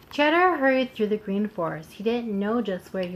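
This is reading aloud in a natural voice, carried by lively intonation.

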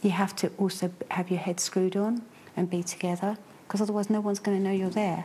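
Light background noise behind a woman speaking. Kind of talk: interview answer. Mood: earnest, matter-of-fact. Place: workshop. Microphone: lapel.

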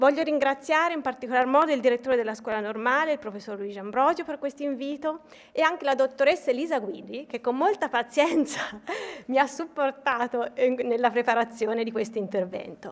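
A woman in a Tuscan accent, high-pitched, with ordinary pitch variation and a fairly quick pace. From Tuscany, Pistoia; Tuscany. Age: 40s. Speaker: mathematics professor and university vice president; mathematics professor. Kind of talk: ceremonial speech. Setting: stage with audience. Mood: warm, formal, slightly personal. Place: hall. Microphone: podium.

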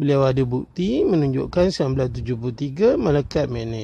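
A man's dark, mellow, somewhat breathy voice at a medium pitch, fairly slow pace and ordinary pitch variation. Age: 40s. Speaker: coin collecting YouTuber. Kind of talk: casual vlog commentary. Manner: many fillers and hesitations.

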